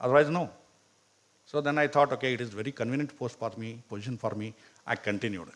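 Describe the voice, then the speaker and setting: A man with a Karnataka accent at medium pitch, ordinary pitch variation, a very fast pace, and long, frequent pauses. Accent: Indian English, Kannada. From India, Karnataka. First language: Kannada. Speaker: professor. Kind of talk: motivational talk.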